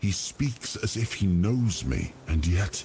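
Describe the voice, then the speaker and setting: A man's put-on character voice at a fairly low pitch and fairly slow pace, over clear background noise. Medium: video game. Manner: halting, brooding.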